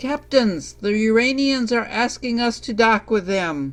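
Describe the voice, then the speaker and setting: A put-on character voice at a fairly high pitch. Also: fairly slow pace. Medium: audio drama. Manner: dry, wry.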